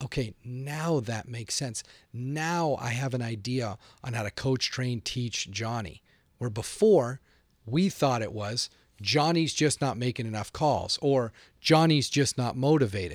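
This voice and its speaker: Over a silent background on a very clean recording, a man with a plain, everyday voice speaks at a medium pitch and fairly slow pace, with ordinary pitch variation. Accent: American. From Boston. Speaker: sales trainer. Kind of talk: interview. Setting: studio.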